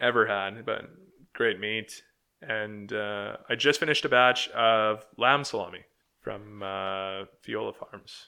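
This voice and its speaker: A man speaks in a Canadian prairie accent. His pace is very slow and his intonation fairly even. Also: medium pitch for a man. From Manitoba, Canada. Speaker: sausage maker. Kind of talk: casual interview.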